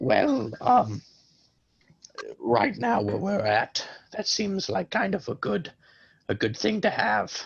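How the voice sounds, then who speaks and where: Using a raspy, put-on character voice at a medium pitch, a man speaks at a fairly slow pace with long, frequent pauses. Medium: actual play. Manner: casual, rambling.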